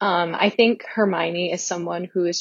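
Her intonation stays monotone and flat. The woman speaks at a moderate pace with a fairly low pitch. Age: 20s. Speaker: listener leaving voicemail. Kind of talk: voicemail message. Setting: phone voicemail. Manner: hesitant, many fillers.

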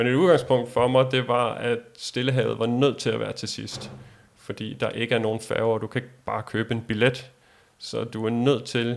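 This man talks at a fairly slow pace with vocal fry. His pitch is medium and his intonation monotone and flat. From Denmark. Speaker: world traveler. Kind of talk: interview.

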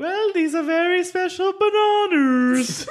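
An extremely high-pitched put-on character voice in a British accent moves at a fairly slow pace against clear background noise.

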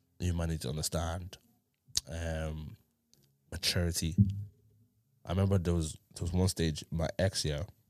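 A man with a London accent and a very deep, low pitch talks in an animated tone at a moderate pace, with long, frequent pauses. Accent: London multicultural English. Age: 20s. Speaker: podcast host. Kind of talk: casual chat. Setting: studio.

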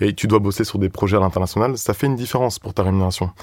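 A man talks at a very fast pace. His voice sits at a fairly low pitch. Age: 20s. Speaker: recruitment consultant. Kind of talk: casual chat. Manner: halting.

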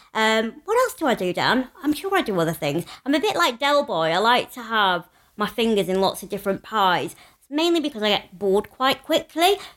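Pitched fairly high, a woman talks with a northern English accent and very wide pitch swings. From northern England. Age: 30s. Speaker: podcast co-host, former teacher. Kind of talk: casual chat. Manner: loud; animated.

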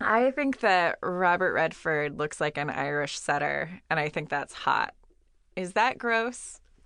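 Against a quiet background, a woman with a fairly low pitch and a bright, sharp tone speaks at a fairly slow pace, her pitch swinging very widely. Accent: Californian. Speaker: podcast co-host. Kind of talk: casual chat. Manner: halting, many fillers.

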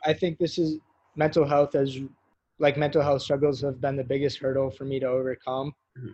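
Fairly high in pitch and somewhat breathy, a man speaks at a fairly quick pace in a monotone, flat intonation, the sound dry and close with no echo. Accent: American. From New York City. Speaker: college football player and fashion designer. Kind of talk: casual interview. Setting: video call. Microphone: poor remote audio quality.

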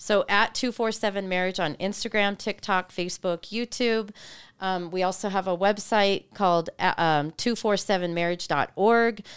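This is a plain, everyday voice at a moderate pace, with fairly even intonation and very even loudness. The recording is very clean, with a silent background. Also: woman, medium pitch for a woman. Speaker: marriage ministry speaker. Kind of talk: casual interview conversation.

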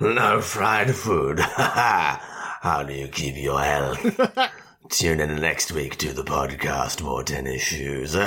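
A man puts on a character voice with a very deep, low pitch. He talks at a very slow pace. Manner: scary, theatrical.

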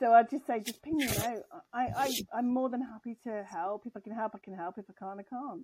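With an English accent, a woman talks at a fairly quick pace in a fairly high pitch and a dark, mellow tone, her loudness swinging widely while her pitch varies in an ordinary way. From grew up abroad as a forces child, English. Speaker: tech executive. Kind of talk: interview.

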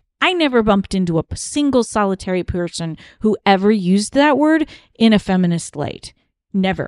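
In an ordinary speaking voice, a woman with an American accent speaks at a moderate pace and medium pitch with lively intonation, the sound dry and close with no echo over a quiet background. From US East Coast. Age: 40s. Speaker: podcast host, cult survivor. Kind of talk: casual chat.

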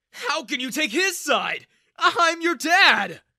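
A put-on character voice with a bright, sharp tone, big pitch swings and a slow pace. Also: man, extremely high pitch for a man.

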